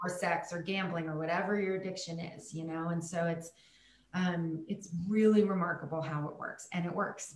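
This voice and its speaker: Her fairly low voice flat and monotone, a woman talks at a moderate pace amid audible room echo. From Germany. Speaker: coach in recovery from alcoholism. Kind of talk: casual interview chat.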